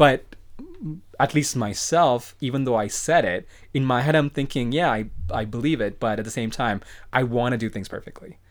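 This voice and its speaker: This man has an unremarkable speaking voice, with medium pitch, ordinary pitch variation and a moderate pace. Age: 30s. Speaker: podcast guest, friend of host. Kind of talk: casual chat.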